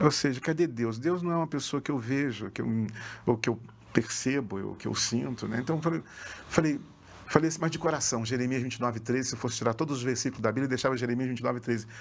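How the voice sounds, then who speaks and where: This man's medium-pitched voice moves very fast, with pitch variation of an ordinary sort. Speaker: pastor. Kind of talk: testimony. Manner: animated.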